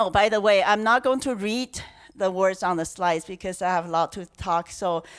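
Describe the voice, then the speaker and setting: A woman speaks with a Chinese accent and ordinary pitch variation. The recording is very clean, with a silent background. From China. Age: 60s. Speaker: conference speaker. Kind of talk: talk. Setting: stage with audience. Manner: halting, many fillers.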